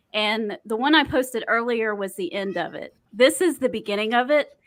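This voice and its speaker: A fairly high-pitched woman with a Southern US accent, at a moderate pace. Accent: US South. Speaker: podcast co-host. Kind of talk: casual chat.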